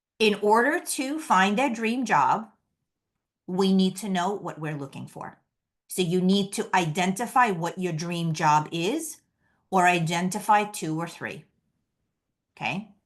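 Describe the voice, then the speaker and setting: Against a quiet background, a woman with a New York accent speaks at a medium pitch with lively intonation and long, frequent pauses. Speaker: career coach. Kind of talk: webinar presentation. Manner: fast.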